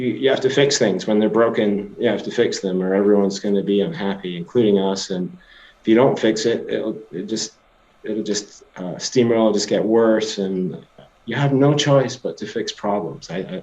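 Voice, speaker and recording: This man has a fairly low voice and a slight Scottish accent. He keeps a moderate pace with ordinary pitch variation. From Scotland. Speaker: tech company CEO. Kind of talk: interview. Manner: hesitant, many fillers and restarts.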